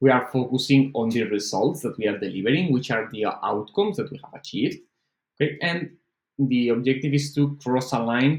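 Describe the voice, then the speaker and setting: A man speaks with a non-native accent at a fairly quick pace. His pitch shows ordinary variation. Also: medium pitch for a man. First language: not English. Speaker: online course instructor. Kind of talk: lecture. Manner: halting, many fillers.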